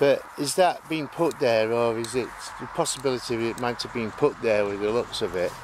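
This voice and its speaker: A man with a South Yorkshire accent, medium in pitch, ordinary in pitch variation and moderate in pace, against noticeable background noise. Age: old. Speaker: paranormal investigator. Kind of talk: casual chat.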